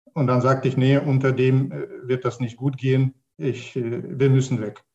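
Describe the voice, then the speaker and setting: A man with a Russian accent speaks at a moderate pace and medium pitch. His voice is dark, mellow and somewhat breathy. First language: Russian (speaking German). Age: 40s. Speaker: mathematics professor. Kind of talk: online panel discussion. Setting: online panel, video call. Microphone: poor sound quality.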